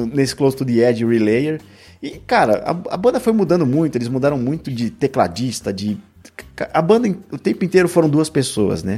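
Over music in the background, a man speaks at a fairly high pitch and a moderate pace with very wide pitch swings. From São Paulo, Brazil. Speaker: music podcaster. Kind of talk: casual chat.

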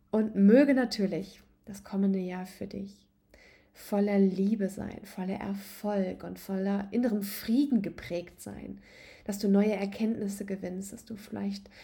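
Speaking fairly slowly in a medium pitch, a woman has a calm, soothing, dark and mellow tone, somewhat breathy, with monotone, flat intonation. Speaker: podcast host and yoga coach. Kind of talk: guided meditation. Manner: calm, soothing, slow and gentle; warm, intimate, addressing listener as du.

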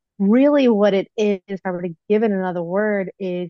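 A woman's unremarkable speaking voice, medium in pitch, with ordinary pitch variation. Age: 40s. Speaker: life coach. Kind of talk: casual chat.

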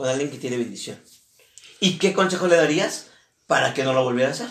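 The voice shows ordinary pitch variation, and room echo is audible. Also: man. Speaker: podcast host. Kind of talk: casual chat.

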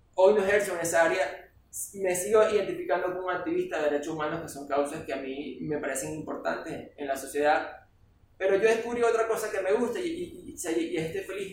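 A man speaks at a high pitch and a fairly quick pace. Audible room echo surrounds his voice. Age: 40s. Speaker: political scientist and consultant. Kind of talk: casual chat.

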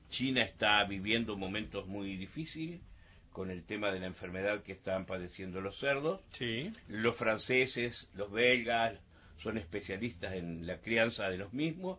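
In an ordinary speaking voice, a man talks at a fairly slow pace. His pitch is fairly low, with ordinary pitch variation. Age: 60s. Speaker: mayor. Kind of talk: radio interview.

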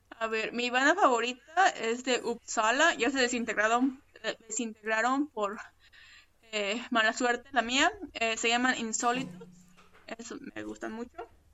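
A woman with a Mexican accent speaks at a fairly slow pace. Her voice is high in pitch, with ordinary pitch variation. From Mexico. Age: 30s. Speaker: immigrant, social media creator. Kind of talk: casual interview. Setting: remote call.

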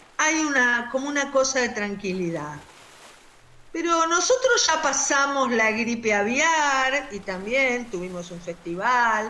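Over noticeable background noise and audible room echo, a woman speaks very slowly in a high pitch with very wide pitch swings. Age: 60s. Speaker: doctor. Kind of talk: interview.

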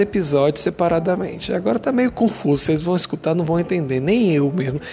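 Against noticeable background noise, a man talks at a fairly quick pace with a fairly high pitch. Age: 30s. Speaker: podcaster. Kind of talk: casual solo monologue. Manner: casual, with filler hesitations.

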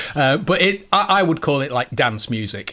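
There is noticeable background noise. Over it, a man talks at a fairly quick pace. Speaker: podcast host. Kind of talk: interview.

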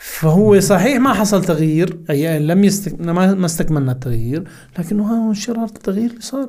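A high-pitched man with a dark, mellow tone, lively intonation and a moderate pace. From Hama, Syria, raised in Kuwait. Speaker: think tank director. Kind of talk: casual interview, personal storytelling. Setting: podcast studio.

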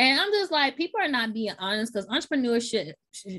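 Bright and sharp in tone, a woman with an American accent speaks at a fairly high pitch with very wide pitch swings. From Memphis, Tennessee, US. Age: 30s. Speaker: podcast host, works in tech. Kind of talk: casual podcast interview.

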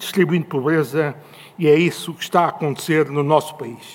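With noticeable background noise in the recording, a man speaks with a European Portuguese accent. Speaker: economist and former government official. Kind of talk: panel talk.

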